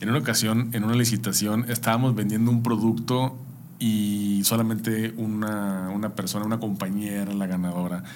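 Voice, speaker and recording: A man's medium-pitched, monotone, flat delivery with a Mexican accent, at a moderate pace, with audible room echo. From Mexico. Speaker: podcast host. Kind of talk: interview.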